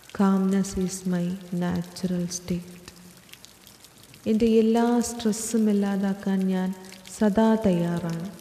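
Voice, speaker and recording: Soft-spoken and at a medium pitch, a woman talks with monotone, flat intonation over noticeable background noise. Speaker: affirmation narrator. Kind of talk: guided affirmations.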